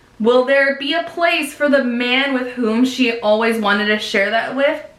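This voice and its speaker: An animated tone with ordinary pitch variation comes at a fairly slow pace, over noticeable background noise and audible room echo. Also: woman. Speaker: book YouTuber. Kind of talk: unboxing and reading blurbs aloud.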